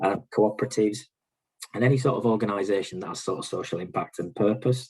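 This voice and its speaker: The speaker has a Yorkshire accent. The pace is fairly quick. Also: man. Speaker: bank regional manager. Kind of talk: presentation. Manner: hesitant, many fillers.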